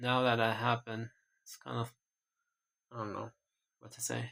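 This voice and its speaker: A man speaks at a medium pitch in a monotone with flat intonation. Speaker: hobby painter vlogger. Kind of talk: casual talk while painting. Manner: halting, repetitive.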